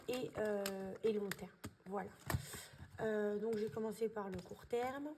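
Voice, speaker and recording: Noticeable background noise under fairly even intonation from a female speaker. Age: 20s. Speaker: budgeting vlogger. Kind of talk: casual tutorial. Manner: hesitant, many fillers.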